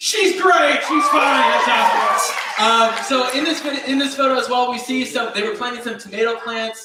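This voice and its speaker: A man with an extremely high pitch and a raised, projected voice, at a moderate pace with hardly any pauses and ordinary pitch variation. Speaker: youth pastor. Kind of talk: youth group talk. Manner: casual, filler-heavy.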